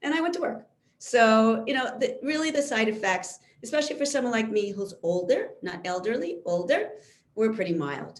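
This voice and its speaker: In a room with audible echo, a woman with a fairly high pitch speaks at a moderate pace, her pitch swinging very widely. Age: 60s. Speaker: physician. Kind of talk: lecture.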